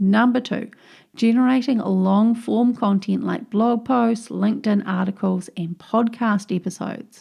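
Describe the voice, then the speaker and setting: A woman speaks at a fairly slow pace in a fairly high pitch, with a dark, mellow tone, a somewhat breathy quality and fairly even intonation. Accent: strong New Zealand. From New Zealand. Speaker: podcast host, digital marketing coach. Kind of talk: solo podcast tutorial.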